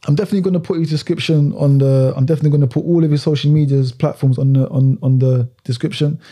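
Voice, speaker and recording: A man with a fairly high pitch speaks at a very fast pace with hardly any pauses. His voice is somewhat breathy and dark and mellow, with fairly even intonation. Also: very even loudness. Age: 20s. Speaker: podcast host. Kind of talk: casual interview.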